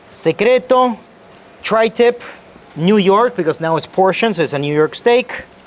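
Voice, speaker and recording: With noticeable background noise behind him, a man talks at a fairly slow pace in a high voice with lively intonation. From Argentina. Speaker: chef. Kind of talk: casual chat.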